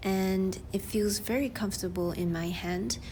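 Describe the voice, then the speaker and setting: A woman's medium-pitched voice, dark and mellow in tone, with fairly even intonation. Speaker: artist. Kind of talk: product review and drawing demo voiceover. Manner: chatty.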